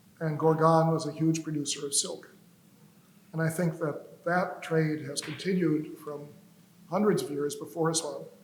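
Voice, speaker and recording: The voice moves at a moderate pace in a flat monotone, with noticeable background noise and audible room echo. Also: man, fairly high pitch for a man. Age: 80s+. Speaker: historian, lecturer. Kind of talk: lecture. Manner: informal, rambling.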